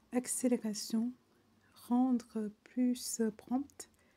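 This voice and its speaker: A woman's fairly high, dark and mellow voice with a non-native accent and flat, monotone intonation. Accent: non-native French accent, admits it. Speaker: online French vocabulary teacher. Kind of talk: reading dictionary entries aloud with casual asides. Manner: halting, many fillers.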